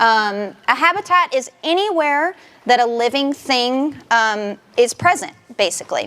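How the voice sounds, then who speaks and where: Loud and high-pitched, a woman in a Southern US accent talks with lively intonation over noticeable background noise. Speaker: nature center education director. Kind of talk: public talk. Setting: presentation room with audience. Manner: frequent fillers (um).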